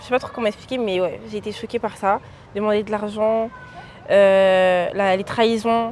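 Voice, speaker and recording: A woman's fairly high-pitched, normal speaking voice at a fairly slow pace. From France (Vendée). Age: young. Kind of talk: interview answer. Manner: casual.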